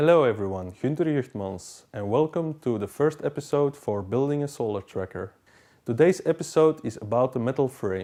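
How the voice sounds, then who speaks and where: A man at a medium pitch and moderate pace, with a non-native accent, lively intonation, and a dark, mellow tone against a quiet background. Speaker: DIY hobbyist. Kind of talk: tutorial.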